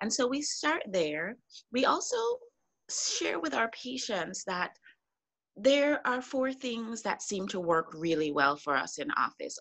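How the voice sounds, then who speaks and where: Very wide pitch swings mark a woman's speech, along with vocal fry. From Connecticut. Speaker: functional medicine doctor. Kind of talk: casual interview.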